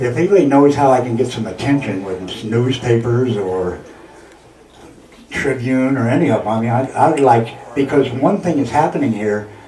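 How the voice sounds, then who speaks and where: The man's voice sits at a medium pitch. Noticeable background noise and audible room echo surround him. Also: ordinary pitch variation, moderate pace. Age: 60s. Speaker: artist and coffee house host facing eviction. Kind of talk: casual interview. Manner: halting.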